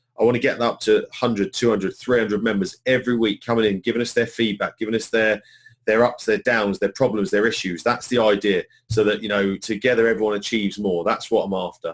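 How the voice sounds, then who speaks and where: At a very fast pace, a man with a British accent speaks at medium pitch with fairly even intonation. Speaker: online marketing trainer. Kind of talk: live webinar training. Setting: live webinar.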